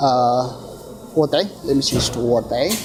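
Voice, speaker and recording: Noticeable background noise runs under this recording. A man with a fairly high pitch speaks at a very slow pace. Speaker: tech reviewer. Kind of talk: unboxing and hands-on review. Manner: animated.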